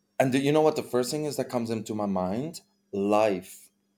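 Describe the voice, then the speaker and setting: Recorded very cleanly against a silent background, a man talks at a medium pitch. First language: not English. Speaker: podcast co-host. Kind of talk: casual chat. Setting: home recording.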